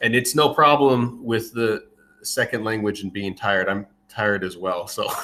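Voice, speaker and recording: The man's tone is bright and sharp, his pitch fairly low. He speaks with an American accent and ordinary pitch variation. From United States. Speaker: Marine veteran volunteer soldier. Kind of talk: interview answers. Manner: halting, repeats words.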